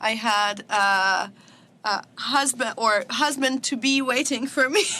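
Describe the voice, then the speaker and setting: A woman's high, bright and sharp voice with a Russian accent, very slow, very even in loudness, with ordinary pitch variation. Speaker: social media comedian. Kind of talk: podcast interview. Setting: studio.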